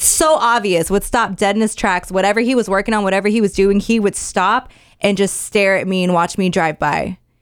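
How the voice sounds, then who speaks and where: At a fairly quick pace, a woman with an unremarkable speaking voice speaks at a medium pitch with ordinary pitch variation and very even loudness, on a very clean recording with a silent background. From Mexican-American. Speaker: radio host. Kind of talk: casual chat.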